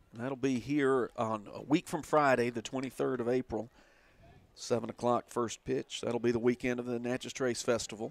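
In a dry, close sound with no echo, a man speaks at a moderate pace with monotone, flat intonation. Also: medium pitch for a man. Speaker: radio sports announcer. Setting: ballpark press box, radio broadcast. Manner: polished, fluent broadcaster delivery.

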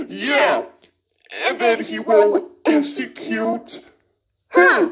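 Slowed to a very slow pace, the delivery comes in a put-on character voice. The pitch sits fairly high. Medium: fan dub. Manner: gushing, breathless.

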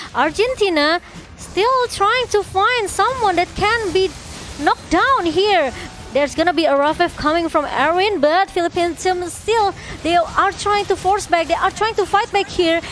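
Her pitch extremely high, a woman talks at a moderate pace with lively intonation and very even loudness over noticeable background noise. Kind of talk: esports shoutcasting.

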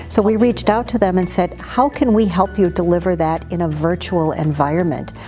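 A woman speaks at a moderate pace while faint music plays in the background. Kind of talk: interview answer. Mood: proud, upbeat.

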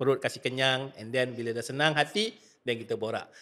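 This man has an ordinary speaking voice, medium in pitch, and he moves at a moderate pace. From Malaysia. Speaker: nasyid singer and podcast host; podcast host. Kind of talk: casual interview chat. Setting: studio. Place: studio. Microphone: studio mic.

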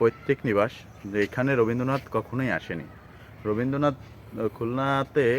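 A man speaks in an ordinary speaking voice at medium pitch. His pitch varies in an ordinary way. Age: under 60. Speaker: travel vlogger. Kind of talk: vlog narration.

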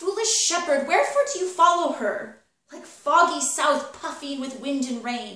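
A woman's raised, projected voice at a moderate pace, with audible room echo. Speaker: actor. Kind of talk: theatrical monologue performance. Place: home room. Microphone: camera far.

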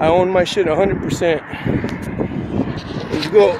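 Loud background noise fills the clip. The sound itself is dry, with no echo. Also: man. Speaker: vlogger. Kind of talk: casual vlog chat. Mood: reflective, determined. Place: street. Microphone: phone near.

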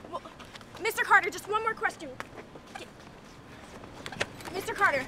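In a put-on character voice, a woman speaks at an extremely high pitch with a bright, sharp tone, ordinary pitch variation and a fairly slow pace, over faint background noise.

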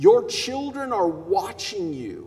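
This man speaks at a fairly slow pace. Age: 50s. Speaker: consulting psychologist, conference speaker. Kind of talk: keynote speech. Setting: stage with audience. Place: hall. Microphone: headset.

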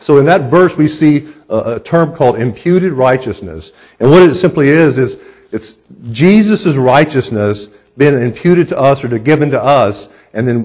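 A somewhat breathy man at a moderate pace, quiet background. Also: lively intonation. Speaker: preacher. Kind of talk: sermon. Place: church.

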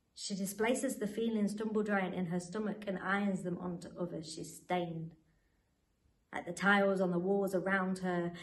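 Somewhat breathy, a woman speaks at a moderate pace. Her intonation is monotone and flat. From Nottingham, England. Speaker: spoken word poet. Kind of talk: interview with poetry readings.

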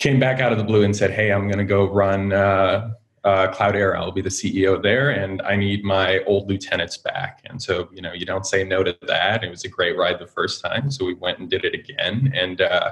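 A man talks at a moderate pace with fairly even intonation and a fairly low pitch. The background is quiet. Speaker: guest. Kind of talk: interview answer. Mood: friendly, relaxed. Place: home room. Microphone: video call.

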